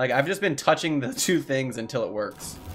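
Ordinary pitch variation comes at a moderate pace. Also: man. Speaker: gaming streamer. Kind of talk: let's play commentary. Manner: casual, laughs often.

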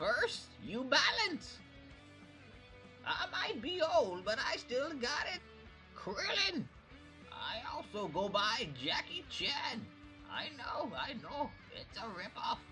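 High-pitched put-on character voice at a very slow pace, with clear music in the background

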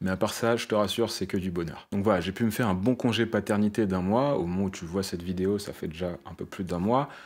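Fairly low male voice at a fairly quick pace, hardly any pauses, ordinary pitch variation, very clean recording with a silent background. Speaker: web developer and YouTuber. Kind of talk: casual vlog talk to camera. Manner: conversational, with filler hesitations.

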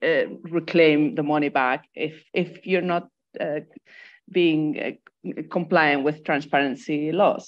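A woman speaks with a fairly low pitch. Her pace is very slow. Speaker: debt and development activist; speaker. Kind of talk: online panel discussion. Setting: video call. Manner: halting, many repetitions. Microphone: earbuds.

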